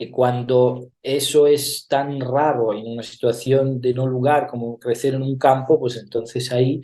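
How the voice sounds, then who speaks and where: A man speaks at a fairly slow pace and a medium pitch. His tone is dark and mellow, with monotone, flat intonation. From Italy. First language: Italian (speaking Spanish). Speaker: actor and theatre director. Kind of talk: interview. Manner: hesitant, many fillers.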